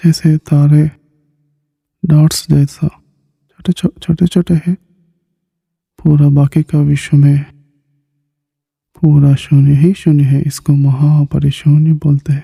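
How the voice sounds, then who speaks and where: Somewhat breathy and dark, mellow in tone, a man speaks at a fairly high pitch in a flat monotone with very even loudness and long, frequent pauses, the sound dry and close with no echo. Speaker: meditation teacher. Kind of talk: guided meditation. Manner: slow; soft-spoken.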